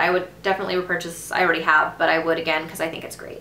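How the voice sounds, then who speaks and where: A woman's voice is heard with audible room echo. Noticeable background noise sits behind her. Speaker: beauty vlogger. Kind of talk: product review vlog. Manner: fast.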